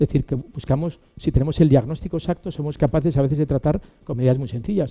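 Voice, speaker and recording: His tone is dark and mellow, with ordinary pitch variation. The man talks at a very fast pace. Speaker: physician and academic lecturer. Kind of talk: lecture.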